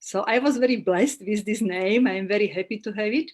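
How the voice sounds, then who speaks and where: A woman with a Slovak accent, medium pitch, ordinary pitch variation and a moderate pace. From Slovakia. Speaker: holistic therapist and astrologer. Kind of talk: interview. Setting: live video call. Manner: halting.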